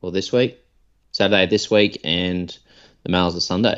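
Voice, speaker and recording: A man speaks in an Australian accent with a very deep, low pitch. His intonation stays fairly even. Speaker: podcast co-host. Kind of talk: casual chat.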